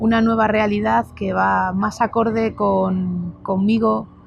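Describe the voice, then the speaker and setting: A woman speaks very slowly over background music. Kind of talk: casual talk to camera.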